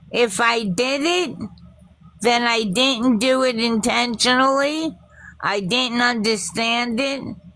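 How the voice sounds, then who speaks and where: A woman's high, bright, sharp voice in audible room echo, very slow, very even in loudness, with ordinary pitch variation. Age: 60s. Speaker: livestream call-in participant. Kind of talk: heated group argument. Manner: halting.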